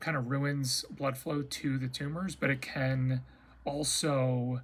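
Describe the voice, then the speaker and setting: A man's medium-pitched, somewhat breathy voice, flat and monotone in intonation, at a very slow pace. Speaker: cancer patient vlogger. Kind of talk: casual chat. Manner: halting.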